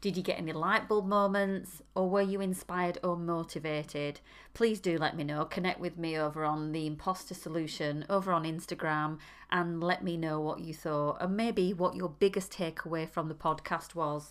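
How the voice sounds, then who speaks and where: On a very clean recording with a silent background, a woman with a fairly low pitch speaks at a moderate pace with fairly even intonation. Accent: northern English. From northern England. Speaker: podcast host. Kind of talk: interview conversation.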